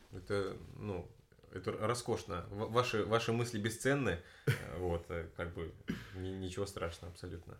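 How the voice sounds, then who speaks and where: Somewhat breathy and very deep in pitch, a man speaks at a fairly slow pace with long, frequent pauses. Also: ordinary pitch variation. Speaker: podcast host. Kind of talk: casual chat. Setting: home room recording with friend.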